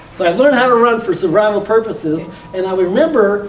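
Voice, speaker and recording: Over noticeable background noise and audible room echo, a man talks with lively intonation in a high pitch. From US Midwest, Detroit. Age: 60s. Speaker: motivational speaker and real estate investor. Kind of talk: motivational talk.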